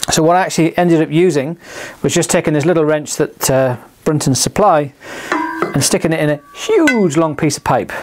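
With light background noise behind him, a man talks at a fairly quick pace, his intonation fairly even and his loudness very even. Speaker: presenter. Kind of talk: tutorial. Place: studio.

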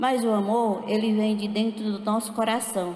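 Light background noise and audible room echo surround a woman speaking in a medium pitch. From Acre, Brazilian Amazon (Juruá Valley); Acre, Brazil. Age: old. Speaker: speaker. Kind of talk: panel talk. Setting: stage with audience. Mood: calm, heartfelt. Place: stage. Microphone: handheld.

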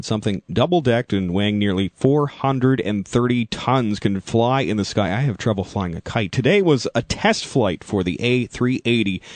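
This man has an unremarkable speaking voice, talking at a moderate pace with a medium pitch and ordinary pitch variation. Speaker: radio announcer. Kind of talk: radio DJ talk. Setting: studio.

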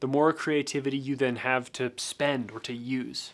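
The man's delivery comes at a fairly slow pace. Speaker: photography youtuber. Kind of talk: casual talk-to-camera commentary. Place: studio.

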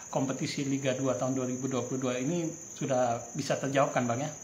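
A fairly quick delivery with audible room echo and light background noise. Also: man. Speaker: sports reporter. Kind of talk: interview. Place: office.

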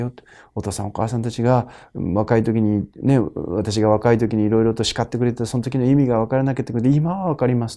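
A man speaks at a fairly quick pace with ordinary pitch variation and a dark, mellow tone. The background is quiet. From Japan. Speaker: Buddhist priest. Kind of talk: sermon-style talk to camera. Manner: formal, explanatory. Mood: calm, warm. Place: home room. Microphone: lapel.

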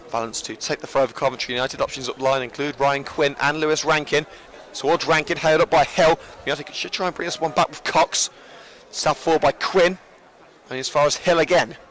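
A man with a fairly high voice talks at a fairly quick pace. Noticeable background noise can be heard. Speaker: football commentator. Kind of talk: live sports commentary, play-by-play. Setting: stadium press box at the ground. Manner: fast, animated, excited play-by-play; jokey, chatty between plays.

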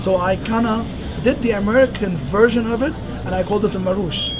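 Noticeable background noise accompanies a man whose pitch varies in an ordinary way. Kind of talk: interview answer. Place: shop. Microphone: camera far.

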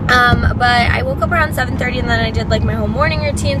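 A woman talks at a fairly quick pace. The sound is dry with no echo, but loud background noise is present. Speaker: lifestyle vlogger. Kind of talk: casual vlog chat. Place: car. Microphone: phone near.

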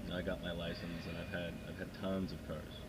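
Noticeable background noise fills the clip. Over it, a man talks. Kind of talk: casual vlog chat. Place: car. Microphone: camera far.

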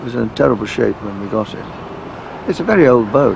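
There is light background noise as a man speaks at a moderate pace in a dry recording with no echo. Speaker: interviewee. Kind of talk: interview answer.

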